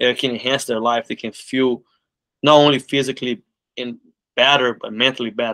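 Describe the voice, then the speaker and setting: A man speaks at a fairly quick pace with long, frequent pauses. His tone is bright and sharp, his intonation monotone and flat, against a quiet background. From Brazil, Belo Horizonte; Brazil. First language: Portuguese. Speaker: martial arts school owner. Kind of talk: interview. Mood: calm, earnest. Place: office. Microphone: video call.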